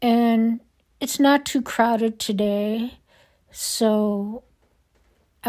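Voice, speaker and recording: In a very clean recording with a silent background, a woman's fairly high voice carries a dark, mellow tone in a flat, monotone delivery. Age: 60s. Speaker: lifestyle vlogger. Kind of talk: casual vlog. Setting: grocery store.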